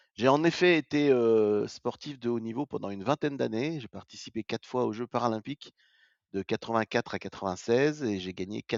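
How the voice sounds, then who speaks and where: Here a man speaks at a moderate pace with lively intonation. His pitch sits fairly low. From France, Vosges. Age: 60s. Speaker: retired paralympic athlete. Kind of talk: interview. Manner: halting, many hesitations.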